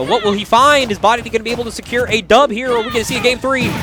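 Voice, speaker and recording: A man's raised, projected voice with a high pitch and an animated tone over music in the background. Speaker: esports commentator. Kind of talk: live commentary. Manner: loud.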